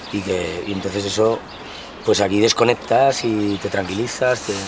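Through noticeable background noise, a man with a fairly low pitch talks at a fairly slow pace with fairly even intonation. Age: 30s. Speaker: singer, builder and street performer. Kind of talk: documentary interview. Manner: halting. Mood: relaxed, reflective. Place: garden.

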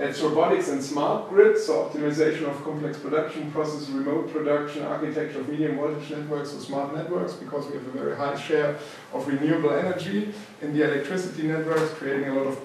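A man talks at a very fast pace with hardly any pauses and fairly even intonation. Strong room echo and light background noise surround him. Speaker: university professor. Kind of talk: lecture. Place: classroom. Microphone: camera far.

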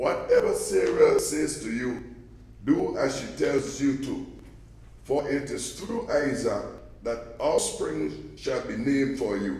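A man talks at a very slow pace. The room echo is audible. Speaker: scripture reader. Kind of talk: scripture reading. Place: church.

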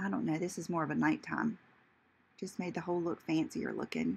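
There is vocal fry in this woman's voice. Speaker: beauty vlogger. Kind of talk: casual makeup tutorial chat. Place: bathroom. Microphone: phone near.

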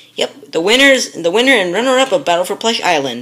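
Her pitch swings very widely as the woman speaks at a fairly quick pace. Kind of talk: character voices in a toy show. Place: home room. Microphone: phone near.

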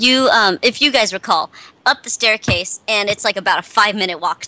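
Someone is doing plain reading aloud with ordinary pitch variation.

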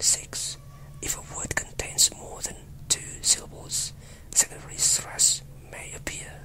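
A whispering voice moves at a fairly slow pace amid noticeable background noise. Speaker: English pronunciation teacher. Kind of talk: tutorial. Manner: whispered, slow and deliberate.

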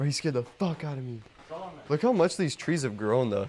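A man's pitch varies in an ordinary way, with light background noise behind him. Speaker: vlogger exploring. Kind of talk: casual vlog chat. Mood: excited, startled. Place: hall. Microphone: phone near.

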